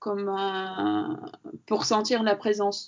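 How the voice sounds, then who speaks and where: The woman's voice sits at medium pitch. Her pitch variation is ordinary. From Latvia. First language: Latvian (speaking French). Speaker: sculptor. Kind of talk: interview. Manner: halting.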